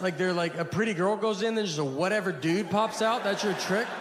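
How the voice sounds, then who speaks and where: A man with an American accent and a high voice talks at a moderate pace, with noticeable background noise. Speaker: stand-up comedian. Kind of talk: stand-up comedy set.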